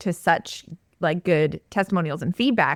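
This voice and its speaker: With a Canadian accent and a plain, everyday voice, a woman talks at a fairly quick pace and fairly low pitch, the sound dry and close with no echo. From Canada. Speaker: online course entrepreneur. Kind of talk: podcast interview.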